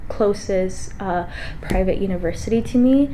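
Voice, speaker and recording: Amid audible room echo and noticeable background noise, a woman with an American accent and medium pitch speaks at a moderate pace with fairly even intonation. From Los Angeles, California (Lincoln Heights). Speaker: college student vlogger. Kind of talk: casual vlog talk. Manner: hesitant with fillers.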